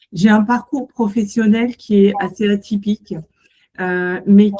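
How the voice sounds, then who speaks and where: A somewhat breathy woman speaks in a dark, mellow tone with monotone, flat intonation. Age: 60s. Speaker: entrepreneur, co-founder, former physiotherapist. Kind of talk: self-introduction to an audience.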